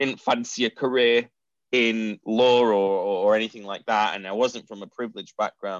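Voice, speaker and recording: Man's medium-pitched voice in a Mancunian accent, monotone and flat, at a moderate pace with big swings in loudness, dry and close with no echo against a quiet background. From Manchester, northern England. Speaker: e-commerce company founder. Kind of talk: interview.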